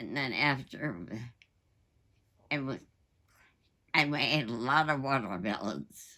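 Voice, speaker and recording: A woman's very deep, low voice with vocal fry and a bright, sharp tone, ordinary pitch variation, a very slow pace and long, frequent pauses. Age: 80s+. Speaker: war veteran. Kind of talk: interview answer.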